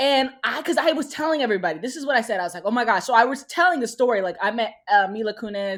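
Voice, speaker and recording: A woman speaks at a very fast pace with a fairly high pitch, an animated tone and very wide pitch swings. The recording is very clean with a silent background. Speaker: podcast co-host. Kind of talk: casual chat.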